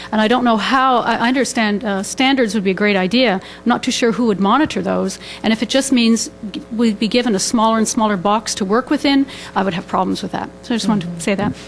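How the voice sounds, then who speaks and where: A fairly high-pitched woman at a very fast pace, with ordinary pitch variation and noticeable background noise. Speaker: restorative justice practitioner. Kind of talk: forum Q&A comment. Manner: shaky voice.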